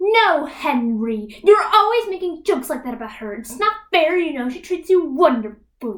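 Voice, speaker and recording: Using a put-on character voice, a woman speaks at an extremely high pitch in a raised, projected voice at a moderate pace with hardly any pauses. Her pitch swings very widely and her loudness shifts a lot. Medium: stage play.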